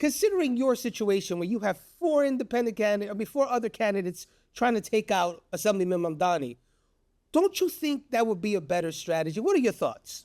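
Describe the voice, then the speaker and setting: A man with a high pitch speaks at a fairly quick pace with very wide pitch swings, in a very clean recording with a silent background. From the Bronx, New York City. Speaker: podcast host. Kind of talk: interview.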